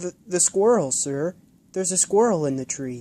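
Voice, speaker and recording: Using a raspy, high-pitched put-on character voice, a man speaks at a moderate pace with lively intonation in a dry, close sound with no echo. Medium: read story.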